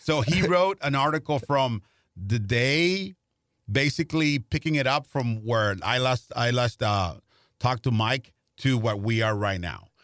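A man's medium-pitched voice with a Spanish accent, fairly slow, with lively intonation, on a very clean recording with a silent background and a dry, close sound with no echo. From Mexico, Tijuana. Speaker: Spanish-language baseball broadcaster. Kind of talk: interview conversation. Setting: studio.

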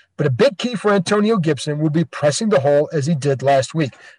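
An ordinary speaking voice with lively intonation comes through dry and close, with no echo. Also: man. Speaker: sports podcast host and reporter. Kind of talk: podcast hosting, interview.

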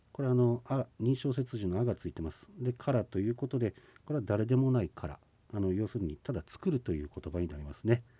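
Lively intonation and a fairly quick pace come through in a somewhat breathy voice, recorded dry and close with no echo. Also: man. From Hokkaido, Shizunai (Hidaka). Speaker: Ainu language instructor. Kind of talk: radio language lesson. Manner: frequent filler 'e' hesitations.

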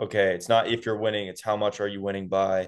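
Against a quiet background, a man with a fairly low pitch and fairly even intonation speaks in a normal speaking voice. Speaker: college football reporter. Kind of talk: casual interview chat.

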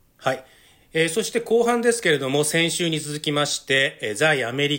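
Pitch swings very widely in this very clean recording with a silent background. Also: man. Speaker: news correspondent and podcast host. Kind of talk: casual news discussion podcast.

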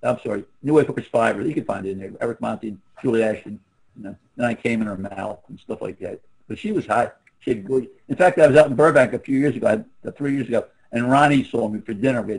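Very fast male speech at a medium pitch, with ordinary pitch variation and big swings in loudness. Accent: Philadelphia. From US Northeast, Philadelphia. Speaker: former adult film actor. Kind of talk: casual chat. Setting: video call.

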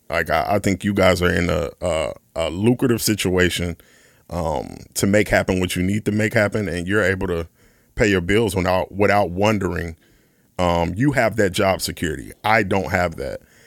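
A man with an American accent and a very deep, low pitch, at a moderate pace with ordinary pitch variation, on a very clean recording with a silent background. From US Midwest, west side of Chicago. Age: 30s. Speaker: session drummer. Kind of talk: casual chat.

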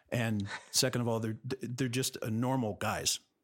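In a dry, close recording with no echo, a man with an American accent speaks at a medium pitch in a plain, everyday voice with fairly even intonation. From Los Angeles, California. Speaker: musician and film composer. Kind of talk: interview. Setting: remote recording from home studio.

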